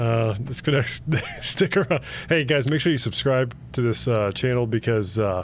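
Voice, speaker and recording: A man talks at a moderate pace with a Cleveland accent. His pitch is medium, with ordinary variation. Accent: narrow vowels, Cleveland style. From Cleveland, Ohio, US Midwest. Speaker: podcast co-host. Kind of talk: casual chat.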